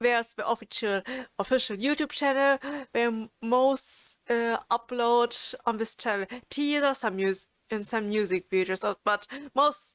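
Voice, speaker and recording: With a German accent, a woman speaks at a fairly slow pace, her fairly high pitch showing ordinary variation. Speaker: YouTuber and streamer. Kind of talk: informational video talk. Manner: halting, many fillers and restarts.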